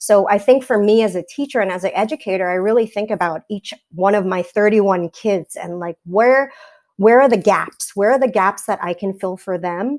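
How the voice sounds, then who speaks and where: In a New York accent, a woman speaks at a medium pitch and a moderate pace with ordinary pitch variation. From New York, Staten Island. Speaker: teacher. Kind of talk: casual chat.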